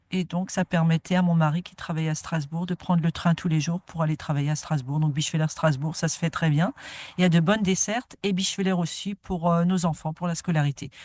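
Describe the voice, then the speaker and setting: A woman speaks at a fairly quick pace with a fairly low, somewhat breathy voice and fairly even intonation. The sound is dry and close, with no echo. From France, Moselle (Bitche area). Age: 60s. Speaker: nature garden founder. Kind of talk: interview. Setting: outdoors in a garden.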